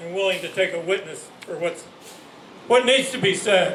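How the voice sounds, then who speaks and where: Noticeable background noise and audible room echo accompany a man speaking at a high pitch with ordinary pitch variation. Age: 80s+. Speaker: activist, rally organizer. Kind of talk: rally speech. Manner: halting, repeats words.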